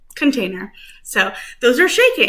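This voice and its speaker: A woman speaks over noticeable background noise. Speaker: music teacher. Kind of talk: lesson for young children. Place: kitchen. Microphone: webcam.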